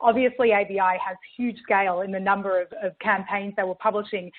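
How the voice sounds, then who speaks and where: This voice moves at a fairly quick pace with fairly even intonation in an Australian accent. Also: woman. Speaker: marketing tech executive. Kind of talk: webinar presentation. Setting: virtual event.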